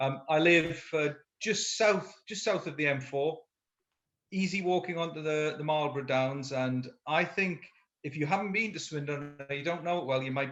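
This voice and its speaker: A man with a northeast English accent, fairly high in pitch with ordinary pitch variation, at a moderate pace. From northeast England, Durham and Sunderland. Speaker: education leader and co-author. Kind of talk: conversational interview.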